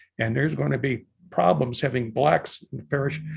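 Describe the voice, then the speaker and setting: Lively intonation with vocal fry at a moderate pace against a quiet background. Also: man. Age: 80s+. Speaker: army veteran and lecturer. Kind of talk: lecture. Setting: video call.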